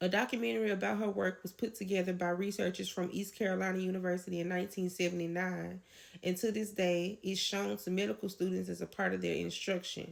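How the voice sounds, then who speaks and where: A woman's very fast, nearly pauseless speech at medium pitch, with very even loudness, fairly even intonation and a slight Southern US accent. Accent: a little country. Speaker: educator on folk tradition. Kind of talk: educational lecture.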